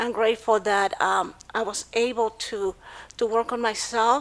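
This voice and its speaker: This woman's voice sits at a fairly high pitch. She speaks at a very slow pace with fairly even intonation. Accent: Spanish. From Mexico City, Mexico. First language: Spanish. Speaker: domestic violence survivor. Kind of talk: personal testimony. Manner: halting, many fillers.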